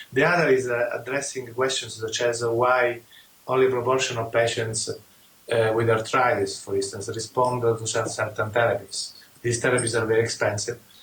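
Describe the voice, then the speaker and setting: Over noticeable background noise, a man with an Italian accent talks at a moderate pace and medium pitch, his intonation monotone and flat. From Italy. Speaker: rheumatologist and immunologist. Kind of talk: interview. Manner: halting, many fillers.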